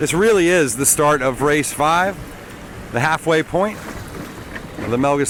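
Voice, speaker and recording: Noticeable background noise sits behind a man whose fairly high voice moves with ordinary pitch variation. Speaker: sailing race commentator. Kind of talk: live commentary. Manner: loud; animated.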